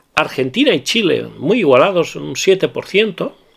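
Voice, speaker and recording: A man speaks with a Valencian accent and vocal fry. His pace is fairly slow. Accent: Spanish from Valencia (Castilian Spanish). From Valencia, Spain. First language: Valencian (speaking Spanish). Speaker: perfume YouTuber. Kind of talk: casual video monologue. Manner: halting, many repetitions and fillers.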